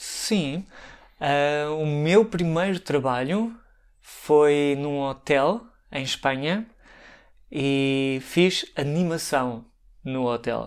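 On a very clean recording with a silent background, a man speaks very slowly with long, frequent pauses in a European Portuguese accent. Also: fairly high pitch for a man, ordinary pitch variation. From Portugal, Santarém. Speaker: language teacher and storyteller. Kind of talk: interview. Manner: halting, many fillers.

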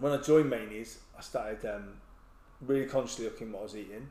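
A man with an English accent talks at a very fast pace and a medium pitch. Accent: English accent, noticeable in Wales. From England. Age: 40s. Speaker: army veteran and ultra runner. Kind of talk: casual chat.

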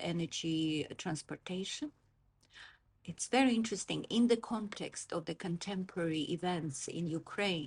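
A woman's somewhat breathy voice sits at a fairly low pitch. Her intonation is lively over a quiet background. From Azerbaijan (Baku). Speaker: political scientist. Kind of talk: interview. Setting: in person, Oxford.

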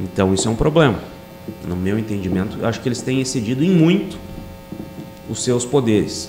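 A man with a southern Brazilian accent speaks at medium pitch with lively intonation. Audible room echo and noticeable background noise surround him. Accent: southern Brazilian (gaúcho) Portuguese. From Rio Grande do Sul, Brazil (Bagé, Sapiranga). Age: 40s. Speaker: police chief and political candidate. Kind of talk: podcast interview.

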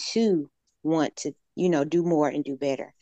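Speaking with a Southern US accent, a woman uses a very deep, low pitch, captured dry and close with no echo against a quiet background. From Alabama, US South. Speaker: fitness instructor. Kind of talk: casual interview.

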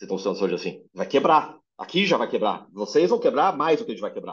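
A man talks at a very fast pace. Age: 40s. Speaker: health tech entrepreneur. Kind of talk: interview conversation.

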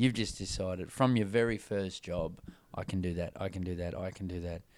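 A normal speaking voice from a man, fairly quick in pace, with ordinary pitch variation. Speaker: podcast host. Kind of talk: casual interview, team-focused motivational talk.

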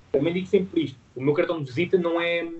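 Somewhat breathy and fairly high in pitch, a man speaks with a European Portuguese accent. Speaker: fitness business founder. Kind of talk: interview. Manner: halting.

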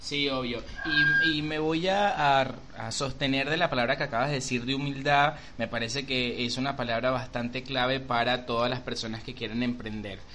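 Speaking at a moderate pace, a man with a medium-pitched voice keeps a fairly even intonation amid audible room echo and noticeable background noise. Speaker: podcast co-host and makeup artist. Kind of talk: casual chat.

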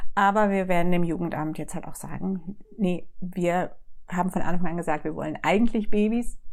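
In an unremarkable speaking voice, a woman talks at a moderate pace. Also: fairly low pitch for a woman. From southwest Germany, Lörrach. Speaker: church secretary and foster mother. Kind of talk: podcast interview.

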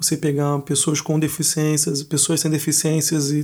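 With a Brazilian accent, a man talks at a moderate pace in a fairly high pitch, and there is noticeable background noise. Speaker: podcast host. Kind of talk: podcast interview.

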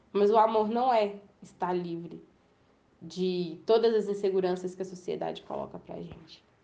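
A woman speaks at a moderate pace and medium pitch, with a dark, mellow tone and fairly even intonation. Her loudness swings widely, and audible room echo surrounds her. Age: 20s. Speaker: communications intern sharing personal testimony. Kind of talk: personal testimony monologue.

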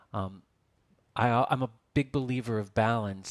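In a very clean recording with a silent background, a man with an American accent keeps a medium pitch and fairly even intonation. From Texas. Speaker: yoga teacher and author. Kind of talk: interview. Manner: halting, many fillers.

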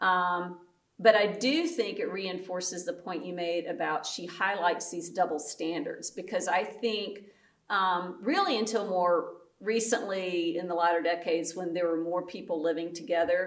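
Someone with a North Carolina accent speaks with audible room echo. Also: woman, medium pitch for a woman, ordinary pitch variation, moderate pace. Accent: North Carolina Southern American. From US South, North Carolina (Guilford County). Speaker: pastor. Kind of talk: casual chat.

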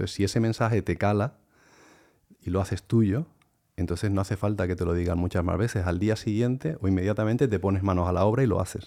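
On a very clean recording with a silent background, a man talks very fast in a dark, mellow tone, his fairly low pitch showing ordinary variation. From Canary Islands, after childhood in Palma de Mallorca. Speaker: sports science professor and fitness coach. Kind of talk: interview.

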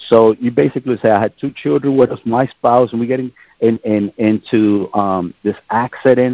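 Moderate pace, ordinary pitch variation and medium pitch from a man with an ordinary speaking voice. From northern New Jersey, Puerto Rican family. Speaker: pastor. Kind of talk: testimony.

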